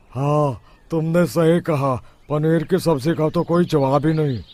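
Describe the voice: A cartoonish character voice at a moderate pace with fairly even intonation. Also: man, fairly high pitch for a man.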